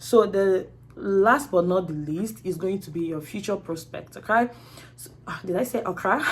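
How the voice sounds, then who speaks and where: A woman talks at a moderate pace with ordinary pitch variation and big swings in loudness over noticeable background noise. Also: medium pitch for a woman. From Nigeria, Anambra State. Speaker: YouTuber and student. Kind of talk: tutorial. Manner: animated.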